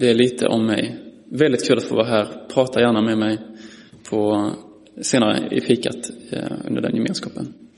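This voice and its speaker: Through noticeable background noise and audible room echo, a man of medium pitch speaks at a moderate pace, with ordinary pitch variation and long, frequent pauses. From Skåne, Malmö. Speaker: preacher. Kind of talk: sermon. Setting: church.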